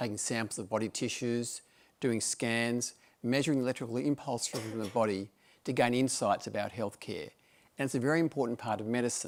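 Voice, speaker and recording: On a very clean recording with a silent background, a man with an Australian accent speaks at a medium pitch and a fairly quick pace. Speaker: medical director, doctor. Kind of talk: presentation talk. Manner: formal.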